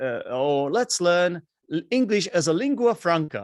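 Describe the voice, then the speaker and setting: At a fairly slow pace, a man talks with very wide pitch swings in a dry, close sound with no echo. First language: Czech. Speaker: English teacher and podcaster. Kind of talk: casual interview chat.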